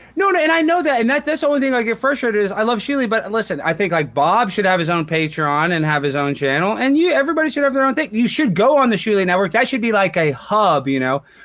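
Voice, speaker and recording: Noticeable background noise sits under a man who talks at a very fast pace, his high pitch making very wide swings. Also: very even loudness. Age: 30s. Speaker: internet personality. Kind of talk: casual chat.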